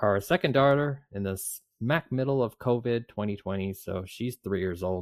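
Over a very clean recording with a silent background and a dry, close sound with no echo, a man speaks in an ordinary speaking voice at a fairly slow pace with ordinary pitch variation. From Canada. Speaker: podcast co-host, father. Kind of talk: casual chat.

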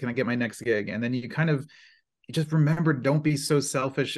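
A man with an ordinary speaking voice, fairly even intonation, and a quiet background. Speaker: panel moderator. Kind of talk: panel discussion. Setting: video call.

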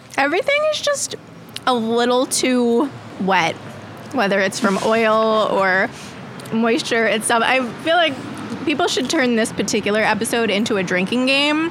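With an American accent, this speaker talks at a moderate pace with very even loudness, ordinary pitch variation, and long, frequent pauses over noticeable background noise. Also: woman, fairly high pitch for a woman. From Long Island, New York. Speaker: podcast guest. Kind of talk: casual chat.

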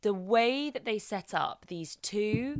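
With lively intonation and a fairly high pitch, a woman speaks at a very slow pace in a very clean recording with a silent background. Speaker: podcast host. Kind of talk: casual chat reviewing a TV episode.

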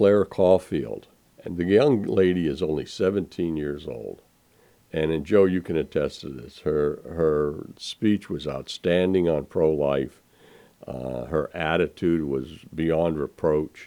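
Very slowly, a man talks in a very deep, low voice with a dark, mellow tone and big swings in loudness. The recording is very clean, with a silent background. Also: ordinary pitch variation. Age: 70s. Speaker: radio co-host. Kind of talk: casual radio talk show chat.

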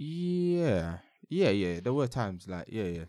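On a very clean recording with a silent background, a man with a London accent speaks in a dark, mellow tone with ordinary pitch variation. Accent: London English (multicultural London English). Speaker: podcast host. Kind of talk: casual chat.

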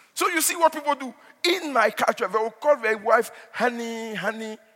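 Noticeable background noise sits behind a man speaking high and fairly quickly. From Nigeria. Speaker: pastor. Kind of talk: sermon. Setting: church.

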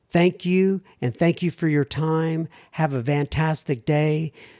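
A man with a fairly high pitch speaks at a fairly slow pace with ordinary pitch variation, recorded very cleanly against a silent background, the sound dry and close with no echo. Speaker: recovery podcast host. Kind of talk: casual interview and listener mail. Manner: soft-spoken.

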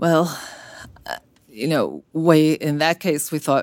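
On a very clean recording with a silent background, a woman with an American accent and a very deep, low pitch speaks at a moderate pace with fairly even intonation. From US, Brooklyn, New York. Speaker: cardiologist and medical journal editor. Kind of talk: interview.

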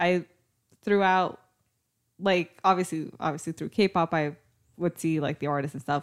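A woman speaks with an ordinary speaking voice at a fairly low pitch, with ordinary pitch variation. The sound is dry and close with no echo, on a very clean recording with a silent background. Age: 20s. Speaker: podcast host, radiation therapist. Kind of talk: casual chat.

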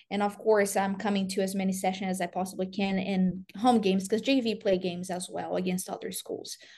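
Somewhat breathy and dark, mellow in tone, a woman's medium-pitched voice moves at a fairly quick pace with monotone, flat intonation. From Brazil. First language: Portuguese. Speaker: college soccer coach. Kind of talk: interview.

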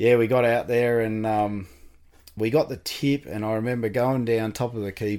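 A man speaks with an Australian accent at medium pitch. His intonation stays fairly even. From Tasmania, Australia. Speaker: amputee sharing life story. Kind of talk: interview.

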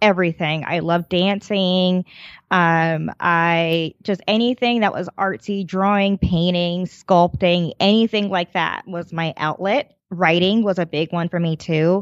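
A woman with an American accent and an ordinary speaking voice, fairly low in pitch, fairly even in intonation, at a fairly slow pace with hardly any pauses, in a dry, close sound with no echo against a quiet background. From New Jersey. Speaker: knitting designer and teacher. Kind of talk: casual interview.

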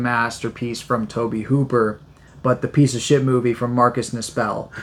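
A man's plain, everyday voice sits at a medium pitch with fairly even intonation. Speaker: podcast co-host. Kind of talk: casual chat.

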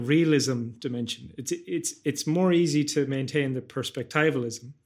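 In an Irish accent, a man with a fairly high pitch speaks at a fairly slow pace with fairly even intonation, on a very clean recording with a silent background. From west of Ireland. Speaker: podcast host, cognitive scientist and philosopher. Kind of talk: casual interview conversation.

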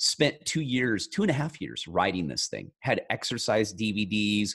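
At a fairly slow pace, an unremarkable speaking voice delivers lively intonation. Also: man. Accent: American. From rural California. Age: 40s. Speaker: self-help author. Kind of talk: interview.

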